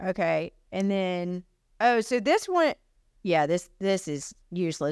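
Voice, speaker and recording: A woman with a Southern US accent, at a fairly slow pace, with lively intonation, in a very clean recording with a silent background. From US South, Alabama and Texas-Arkansas border area. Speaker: realtor and podcast co-host. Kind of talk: casual chat.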